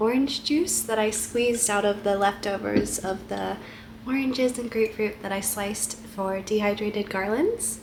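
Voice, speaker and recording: Amid noticeable background noise, a woman with a gentle tone speaks fairly slowly at a fairly high pitch with ordinary pitch variation. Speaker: lifestyle vlogger. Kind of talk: casual vlog narration. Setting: at home. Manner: cozy, gentle.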